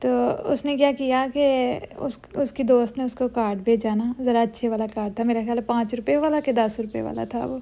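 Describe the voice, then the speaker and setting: A woman talks at a fairly high pitch in a dark, mellow tone. Her pace is fairly slow, with fairly even intonation and hardly any pauses. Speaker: vlogger. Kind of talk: casual vlog chat and storytelling.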